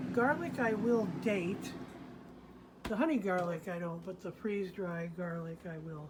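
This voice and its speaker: With an American accent and a relaxed tone, a woman speaks at a fairly slow pace with ordinary pitch variation and audible room echo. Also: fairly low pitch for a woman. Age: 70s. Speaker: retired homesteading vlogger. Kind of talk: casual how-to vlog narration. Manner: relaxed, unhurried with fillers.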